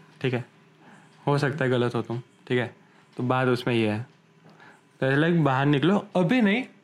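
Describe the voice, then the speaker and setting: Here a man talks at a medium pitch with ordinary pitch variation. He keeps a moderate pace, broken by long, frequent pauses. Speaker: podcast co-host. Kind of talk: casual chat.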